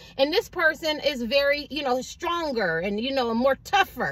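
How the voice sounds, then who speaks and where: A woman speaks with a high pitch. Her pitch swings very widely. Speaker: tarot reader. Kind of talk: tarot reading monologue. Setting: in a car. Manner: fast.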